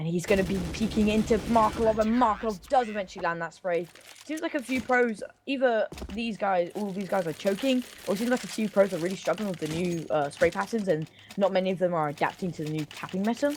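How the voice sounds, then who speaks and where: A very fast, animated woman's voice at a medium pitch with lively intonation, over noticeable background noise. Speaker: esports caster. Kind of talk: live commentary.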